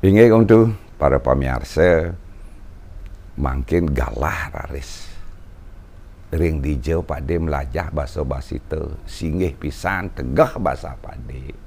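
Very slow with long, frequent pauses, a man's very deep, low voice moves through lively intonation and big swings in loudness over light background noise. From Bali, Indonesia; Indonesia. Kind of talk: storytelling interview. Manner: formal.

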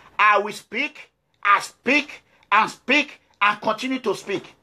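A man with a Nigerian accent speaks in a raised, projected voice, high-pitched, with an animated, bright, sharp tone and ordinary pitch variation against a quiet background. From Nigeria, Edo State. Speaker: political activist. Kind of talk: political address to viewers. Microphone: phone near.

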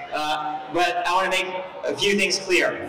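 Very slow speech from a man, amid light background noise and audible room echo. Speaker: speaker. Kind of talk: short rally speech; public address speech. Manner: warm, direct, encouraging. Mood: earnest, encouraging. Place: hall.

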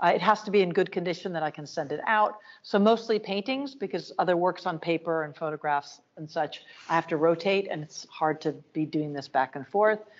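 The voice moves at a fairly quick pace with ordinary pitch variation. Its loudness swings a great deal. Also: woman, fairly low pitch for a woman. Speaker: art museum director. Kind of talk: lecture. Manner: animated. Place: hall.

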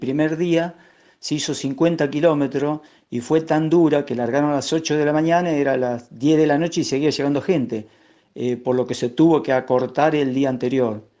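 With an Argentine accent, a man talks at a fairly quick pace in a fairly high pitch with fairly even intonation. His tone is dark and mellow against a quiet background. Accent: Rioplatense Argentine Spanish. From Argentina, Lincoln (Buenos Aires province). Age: 60s. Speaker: trail runner. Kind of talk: interview. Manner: hesitant, many fillers.

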